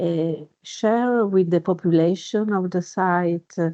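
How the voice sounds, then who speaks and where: A woman speaks very slowly at a medium pitch, her pitch varying in an ordinary way. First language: not English. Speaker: underwater archaeologist. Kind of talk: webinar panel discussion. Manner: halting, many fillers.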